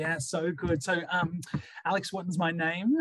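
A man with an Australian accent. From Sydney, Australia. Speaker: school principal. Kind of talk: interview. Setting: remote call. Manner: hesitant fillers.

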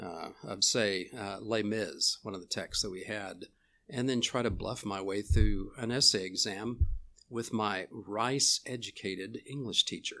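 A man's bright, sharp, fairly low-pitched voice with a Texan accent, at a fairly slow pace. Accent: Texan Southern US. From Texas. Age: 70s. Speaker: professor. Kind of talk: casual chat. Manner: halting.

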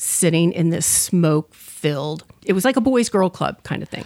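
A woman speaks at a moderate pace. Her pitch is very deep and low. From US Midwest, suburb of Detroit, Michigan. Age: 50s. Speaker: professional organizer and crafter. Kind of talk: casual interview.

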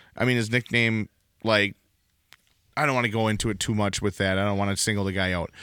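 In a strong Wisconsin accent, a man talks very fast yet leaves long, frequent pauses, with very even loudness. His pitch is fairly low, his tone bright and sharp, and his intonation fairly even. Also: dry, close sound with no echo. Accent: thick Wisconsin. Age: young. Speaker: podcast co-host. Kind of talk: casual chat. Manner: halting, many fillers.

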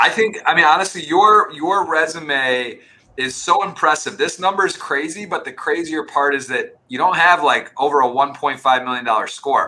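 A man speaks at a moderate pace with hardly any pauses, his pitch fairly high and its variation ordinary. It is an ordinary speaking voice. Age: 30s. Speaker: poker podcast host. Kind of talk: interview.

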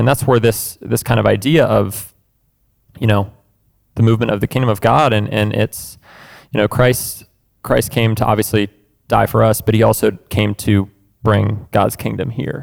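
In a very clean recording with a silent background, a man talks in a fairly low pitch with vocal fry, fairly even intonation and very even loudness, pausing long and often. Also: moderate pace. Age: 20s. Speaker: musician and seminary student. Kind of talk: casual chat.

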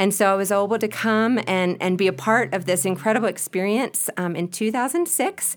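With lively intonation and hardly any pauses, a woman talks at a fairly quick pace. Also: medium pitch for a woman. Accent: Southern US. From US South, Spartanburg, South Carolina. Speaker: missionary and ministry partner. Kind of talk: interview.

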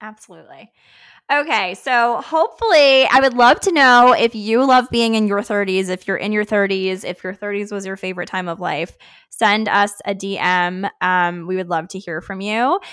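A plain, everyday voice with lively intonation at a moderate pace, on a very clean recording with a silent background. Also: woman. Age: 30s. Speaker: podcast co-host, dietitian. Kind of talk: casual chat.

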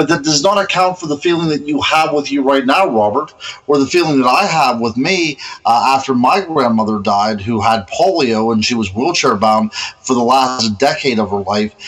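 A man's medium-pitched voice with an American accent and lively intonation, at a moderate pace over noticeable background noise. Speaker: podcast co-host. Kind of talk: casual interview chat. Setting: remote call with connection problems.

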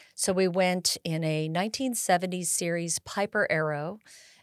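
A woman with an American accent speaks in a plain, everyday voice at a fairly low pitch, with fairly even intonation and a moderate pace, in a dry, close sound with no echo on a very clean recording with a silent background. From California Bay Area. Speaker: air show executive director and pilot. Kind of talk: casual interview.

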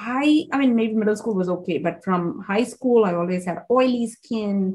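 A woman speaks at a moderate pace with a fairly high pitch, a somewhat breathy quality and ordinary pitch variation. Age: 40s. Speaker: naturopathic doctor, podcast host. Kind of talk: casual interview chat. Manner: animated.

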